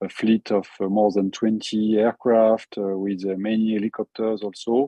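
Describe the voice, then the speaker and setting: In a French accent, a man with a fairly low pitch speaks at a moderate pace in a monotone, flat intonation. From France. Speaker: forest fire expert. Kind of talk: webinar presentation. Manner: halting, many fillers and repetitions.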